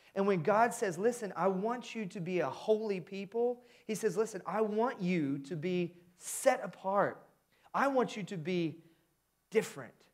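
In an American accent, a man with a high pitch and an animated tone speaks at a moderate pace with ordinary pitch variation over a quiet background. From US Midwest, Indiana. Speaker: pastor. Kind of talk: sermon. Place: church. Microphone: headset.

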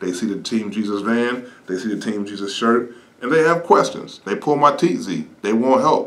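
At a moderate pace with hardly any pauses, a man talks with ordinary pitch variation. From Ohio. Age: 50s. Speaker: evangelist pastor. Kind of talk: ministry update talk. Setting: studio. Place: studio.

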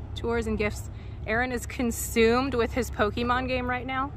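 A woman speaks at a moderate pace in a dry, echo-free sound, with noticeable background noise. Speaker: vlogger filming. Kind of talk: casual vlog chat. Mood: excited, upbeat. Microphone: phone near.

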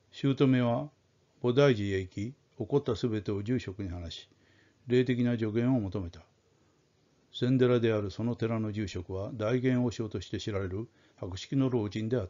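Speaking at a moderate pace, a man with an unremarkable speaking voice keeps a medium pitch and ordinary pitch variation while his loudness swings widely. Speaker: audiobook-style storyteller reading aloud. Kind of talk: dramatic narration of a ghost story, read aloud. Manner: formal, polite, measured.

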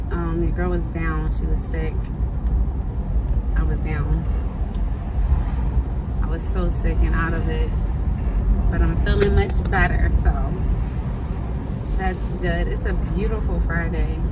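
A woman at a fairly slow pace, long and frequent pauses, and loud noise in the background. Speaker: vlogger. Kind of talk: casual vlog chat. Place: car. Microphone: phone near.

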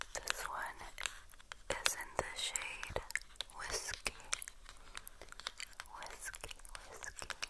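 Whispered speech from a woman. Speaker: beauty ASMR creator. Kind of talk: soft-spoken ASMR chat. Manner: slow repeated ASMR whisper. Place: home room.

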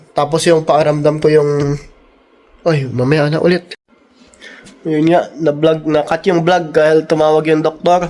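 A man's dark, mellow voice, fairly high in pitch, with flat, monotone intonation. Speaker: travel vlogger. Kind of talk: casual vlog chat. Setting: outdoors in snow.

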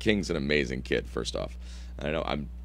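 A man's very deep, low voice with vocal fry at a moderate pace, in a dry sound with no echo. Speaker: podcast host. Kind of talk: casual podcast chat. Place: studio. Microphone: studio mic.

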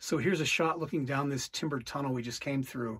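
Somewhat breathy, a man speaks with fairly even intonation against a quiet background. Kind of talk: casual exploration commentary. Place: tunnel cave. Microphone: phone near.

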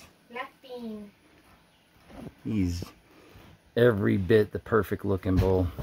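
Speech at a fairly slow pace comes through noticeable background noise. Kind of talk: casual vlog chat. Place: farm. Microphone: phone near.

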